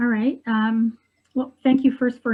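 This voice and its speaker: A somewhat breathy female voice. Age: 60s. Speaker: widow sharing her love story. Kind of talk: interview testimony. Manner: hesitant, many fillers.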